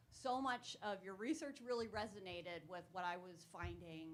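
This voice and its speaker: The speaker moves at a moderate pace. Pitch varies in an ordinary way. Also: woman. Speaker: audience member, professor. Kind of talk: audience question. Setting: hybrid public event with audience.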